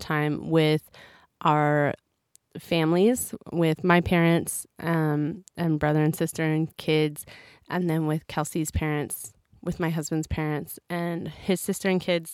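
A woman with an American accent speaks at a very slow pace, her pitch fairly low and her intonation fairly even. The recording is very clean, with a silent background. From United States. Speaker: missionary podcaster. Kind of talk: casual solo podcast monologue.

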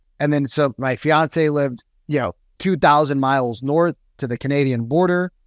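The very clean recording, with a silent background and a dry, close sound with no echo, carries a man with an ordinary speaking voice, a fairly high pitch and a moderate pace. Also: ordinary pitch variation. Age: 40s. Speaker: real estate sales coach. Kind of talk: casual chat.

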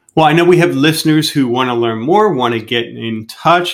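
Speaking at a moderate pace, a man with a fairly high pitch uses ordinary pitch variation in an unremarkable speaking voice. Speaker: podcast host. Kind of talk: casual interview.

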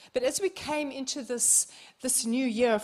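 On a very clean recording with a silent background, a woman with a New Zealand accent speaks in an animated tone at a high pitch with ordinary pitch variation. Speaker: visiting minister. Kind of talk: sermon. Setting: church service.

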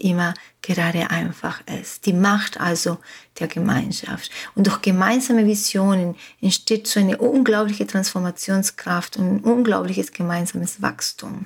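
With a Spanish accent, a woman speaks at a moderate pace in a somewhat breathy voice at a medium pitch. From Uruguay. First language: Spanish (speaking German). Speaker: life coach. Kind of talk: motivational podcast monologue. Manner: animated.

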